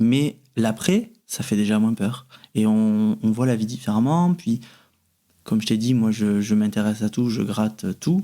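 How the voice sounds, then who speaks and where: The voice has a dark, mellow tone and a Toulouse accent, moving at a fairly slow pace with ordinary pitch variation and very even loudness. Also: man, medium pitch for a man. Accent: Toulouse, southern French. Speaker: medium. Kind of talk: interview answer.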